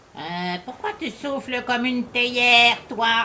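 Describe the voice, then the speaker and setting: A put-on character voice at a fairly high pitch and a fairly slow pace. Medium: read story.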